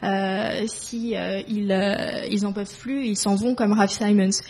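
A woman talks at a medium pitch with fairly even intonation. Noticeable background noise runs underneath. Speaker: fashion school alumna, moderator. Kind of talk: interview questions.

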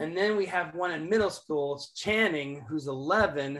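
This man has an unremarkable speaking voice with a fairly high pitch and ordinary pitch variation. He talks at a fairly slow pace. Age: 50s. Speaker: worship leader and professor. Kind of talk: casual interview.

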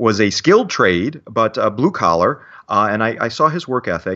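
Here a man speaks with a Midwestern American accent. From Michigan, Detroit area. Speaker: security instructor and company founder. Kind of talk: casual interview.

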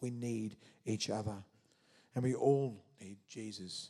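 A man talks with an Australian accent. His intonation stays fairly even. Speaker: prison chaplain and preacher. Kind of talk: sermon. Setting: church.

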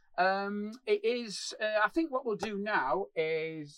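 A man with a high-pitched voice. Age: 40s. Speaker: comedian. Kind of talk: casual chat. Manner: animated.

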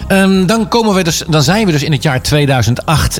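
This man talks at a moderate pace with a slight eastern Dutch accent. His intonation is lively, and there is noticeable background noise. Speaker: radio DJ host. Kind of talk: casual radio presenting. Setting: radio studio. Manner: halting, many fillers.

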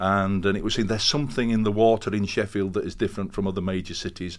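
A man with a Yorkshire accent talks at a fairly quick pace, his very deep, low voice full of vocal fry. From northern England, Castleford, West Yorkshire. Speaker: professor. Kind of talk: interview.

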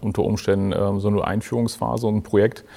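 A man talks very fast at medium pitch in a dark, mellow tone. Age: 40s. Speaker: business analyst. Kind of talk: panel discussion.

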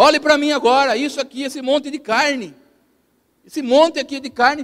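A man's extremely high pitch, bright and sharp in tone, in a monotone, flat intonation. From Brazil, São Paulo state interior (Piracicaba region). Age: 50s. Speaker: pastor. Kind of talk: sermon. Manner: halting.

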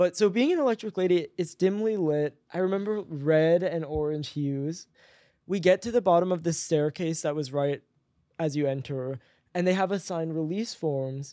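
Here a man speaks at a high pitch with a dark, mellow tone, moderate pace and ordinary pitch variation. The very clean recording is dry and close, with no echo and a silent background. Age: 20s. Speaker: writer and music researcher. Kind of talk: casual chat.

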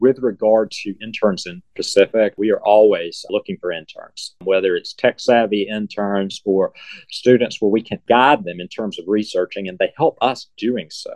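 The sound of a man with an Alabama accent is dry and close, with no echo. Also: moderate pace, big swings in loudness. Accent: Southern US (Alabama). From US South, Selma, Alabama. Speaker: museum curator. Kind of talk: interview.

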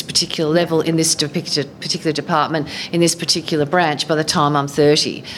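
Speaking with an Australian accent, a woman talks fairly quickly at a fairly low pitch with ordinary pitch variation. Background noise is noticeable. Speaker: former politician. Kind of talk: short interview. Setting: live event.

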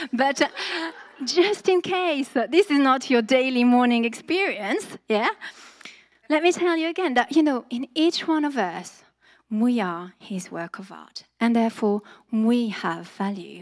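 A woman with a French accent speaks at a high pitch and a fairly slow pace, her pitch swinging very widely. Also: very clean recording, silent background. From France. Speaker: church preacher. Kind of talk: sermon. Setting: church.

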